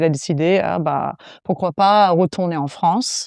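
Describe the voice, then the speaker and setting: A woman with an English accent, fairly low pitch and a dark, mellow tone, at a moderate pace against a quiet background. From US, South Florida. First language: English (speaking French). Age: 30s. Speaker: fitness coach. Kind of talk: podcast interview.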